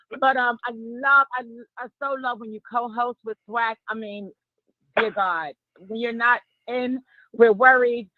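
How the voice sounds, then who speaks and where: Here a woman with a high voice speaks in a New York accent at a fairly slow pace, with long, frequent pauses. Her intonation stays fairly even while her loudness swings widely. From New York, Harlem. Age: 40s. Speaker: caller. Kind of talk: call-in chat.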